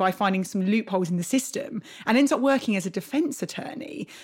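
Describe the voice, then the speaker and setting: A woman talks at a fairly quick pace in a somewhat breathy voice. Her pitch swings very widely. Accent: British. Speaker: podcast host. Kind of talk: casual interview chat.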